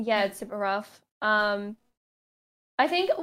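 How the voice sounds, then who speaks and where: Over a silent background in a very clean recording, a woman with an Australian accent speaks at a fairly slow pace and a fairly high pitch. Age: 20s. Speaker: gaming podcast co-host, competitive gamer. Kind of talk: casual chat.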